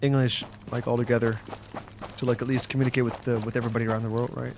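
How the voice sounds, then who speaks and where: Over noticeable background noise, a man rushes along at a very fast pace in a monotone, flat delivery. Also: medium pitch for a man. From Netherlands, southern (West Brabant). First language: Dutch. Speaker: gaming streamer. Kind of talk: casual live-stream chat while gaming.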